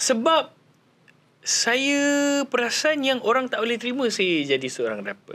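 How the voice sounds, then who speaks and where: The pace is fairly slow, broken by long, frequent pauses. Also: man. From Malaysia. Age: 20s. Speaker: actor, singer and rapper; actor. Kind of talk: casual chat; interview answer. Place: studio. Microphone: handheld.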